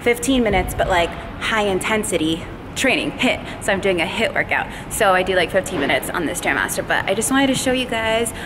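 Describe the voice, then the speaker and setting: A woman at a fairly quick pace with ordinary pitch variation, against noticeable background noise. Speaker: fitness vlogger. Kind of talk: casual vlog chat. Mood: upbeat, pleased. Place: gym. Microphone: phone near.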